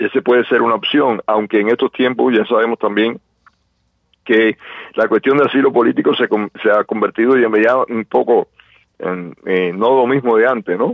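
At a moderate pace, a medium-pitched man speaks with fairly even intonation and very even loudness. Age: 60s. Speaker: Cuban exile activist. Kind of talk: radio interview. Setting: phone call. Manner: halting, many fillers.

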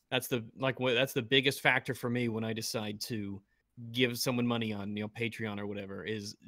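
A man with a normal speaking voice talks at a fairly quick pace, using a medium pitch and fairly even intonation. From US South. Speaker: YouTuber. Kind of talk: casual chat.

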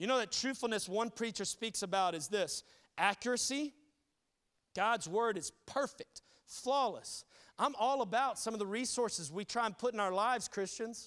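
This man has a Southern US accent and a high pitch, talking at a moderate pace with ordinary pitch variation. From New Orleans, then South Carolina from 14. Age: 30s. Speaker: pastor. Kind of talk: sermon. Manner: animated.

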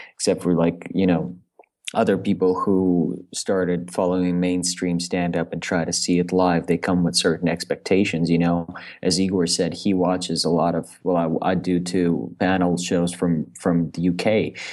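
A man's very deep, low voice, monotone and flat, at a moderate pace. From Russia, Moscow. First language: Russian. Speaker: stand-up comedian. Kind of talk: casual interview. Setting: video call.

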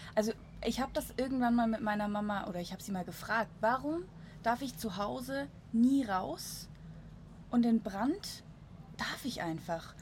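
Her voice fairly high in pitch and somewhat breathy, a woman speaks with lively intonation and long, frequent pauses. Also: moderate pace. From Switzerland. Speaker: podcast host. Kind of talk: casual chat. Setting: on a balcony in Munich.

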